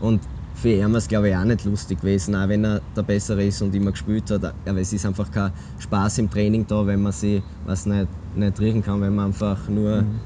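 A man's fairly low pitch carries a dark, mellow tone with very even loudness. He speaks at a fairly quick pace with fairly even intonation. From Austria, Graz. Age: 20s. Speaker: football goalkeeper. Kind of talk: casual interview.

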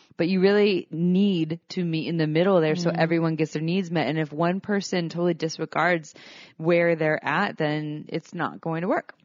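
A woman with an ordinary speaking voice and fairly low pitch talks at a fairly quick pace with fairly even intonation. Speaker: sex educator and podcast co-host. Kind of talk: casual chat. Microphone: new recording equipment, same mics.

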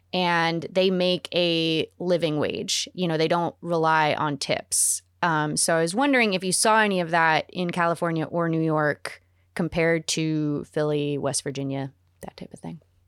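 Captured on a very clean recording with a silent background and a dry, close sound with no echo, a woman with an unremarkable speaking voice talks at a moderate pace and a fairly low pitch, with ordinary pitch variation. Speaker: podcast co-host. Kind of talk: casual interview.

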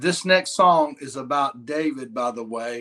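Speaking with a Southern US accent, a man talks very slowly in a fairly high pitch with ordinary pitch variation. His tone is bright and sharp. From Mississippi. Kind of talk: casual interview chat.

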